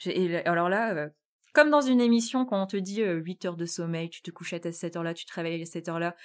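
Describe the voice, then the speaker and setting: The recording is very clean, with a silent background. A woman speaks at a fairly low pitch and a moderate pace. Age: 20s. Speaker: interviewee training in human resources. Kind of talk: personal testimony. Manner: halting, many hesitations and repetitions.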